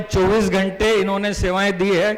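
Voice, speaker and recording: Over noticeable background noise and audible room echo, a man speaks in a high pitch with monotone, flat intonation. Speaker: doctor and event emcee. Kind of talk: event hosting speech.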